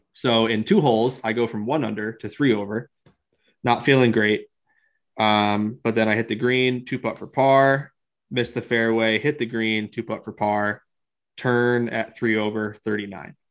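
Against a quiet background, a man with a plain, everyday voice talks at a medium pitch and moderate pace with fairly even intonation. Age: 40s. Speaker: golf podcast co-host. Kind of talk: casual chat.

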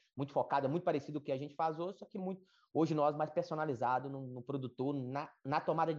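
Fairly high in pitch, a man talks in an ordinary speaking voice with fairly even intonation. The background is quiet. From Brazil, rural Minas Gerais/Bahia border. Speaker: agricultural market analyst. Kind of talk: interview. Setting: live stream.

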